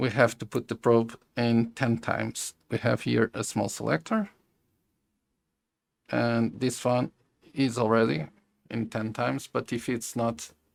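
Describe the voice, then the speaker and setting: A man talks at a medium pitch with ordinary pitch variation. He leaves long, frequent pauses. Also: dry, close sound with no echo. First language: Portuguese. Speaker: electronics YouTuber. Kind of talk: tutorial. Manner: halting.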